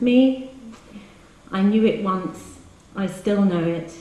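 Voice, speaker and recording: A woman speaks in a playful, warm tone with ordinary pitch variation, and room echo can be heard. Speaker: poet reading her work. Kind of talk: poem reading, intimate live reading with brief chatty introductions between poems. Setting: live reading in a hall with audience. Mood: wry, rhythmic delivery. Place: hall. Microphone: camera far.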